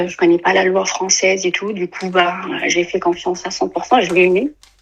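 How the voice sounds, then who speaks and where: A woman's medium-pitched voice, flat and monotone, at a moderate pace. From Tunisia. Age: 30s. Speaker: caller. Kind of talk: testimony. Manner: halting, many hesitations.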